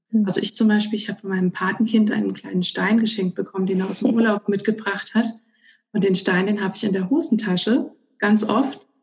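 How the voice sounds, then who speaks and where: A woman speaks at a fairly quick pace with a medium pitch. Her voice is somewhat breathy, and her intonation fairly even. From Germany, northern Hesse. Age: 30s. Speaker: civil servant and stress management trainer. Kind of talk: interview. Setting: remote call.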